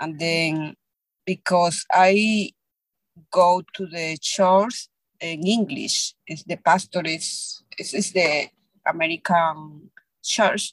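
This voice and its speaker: Very slow speech in a Spanish accent, dry and close with no echo. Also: woman, fairly low pitch for a woman, ordinary pitch variation. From Peru. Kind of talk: interview. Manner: halting.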